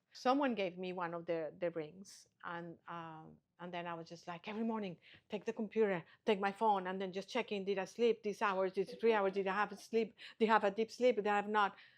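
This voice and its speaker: A woman's unremarkable speaking voice at a medium pitch and a fairly quick pace, with fairly even intonation and big swings in loudness over a quiet background. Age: 60s. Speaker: Ayurvedic practitioner and spa founder. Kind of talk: interview conversation.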